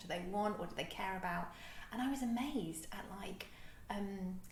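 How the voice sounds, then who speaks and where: Bubbly and quick, a woman with a London accent talks at a medium pitch with ordinary pitch variation. Background noise is noticeable. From London, England. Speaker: reverend, church minister. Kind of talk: interview answer.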